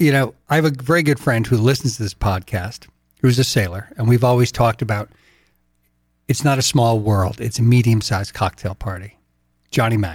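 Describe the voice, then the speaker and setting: A man's medium-pitched, somewhat breathy voice with an American accent, ordinary pitch variation, and a fairly quick pace. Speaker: podcast co-host. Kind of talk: casual chat.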